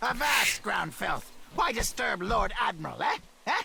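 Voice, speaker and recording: This is a put-on character voice. The pitch sits fairly high. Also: moderate pace. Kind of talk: mock-nautical, archaic. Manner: bossy, pompous.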